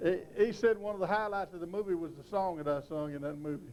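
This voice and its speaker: Speaking with a West Texas accent, a man with a high voice uses ordinary pitch variation. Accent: West Texas drawl. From West Texas, Lamesa. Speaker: country singer and yodeler. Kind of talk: documentary interview.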